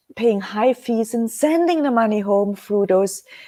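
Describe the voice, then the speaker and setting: A woman speaks in a German accent with a dark, mellow tone. The recording is very clean, with a silent background. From Germany. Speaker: webcast host, precious metals business. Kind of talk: live webcast talk. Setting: live stream. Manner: slow; hesitant, many fillers.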